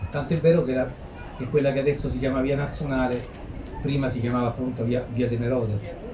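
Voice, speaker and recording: Amid noticeable background noise and audible room echo, a man speaks at a fairly quick pace with long, frequent pauses, his medium pitch held in fairly even intonation. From Ladispoli, Lazio, central Italy. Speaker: author and researcher. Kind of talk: book presentation talk. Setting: live audience presentation. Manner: fast; halting, with repetitions.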